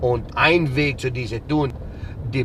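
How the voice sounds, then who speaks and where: Very slow speech is heard over noticeable background noise. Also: man. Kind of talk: interview.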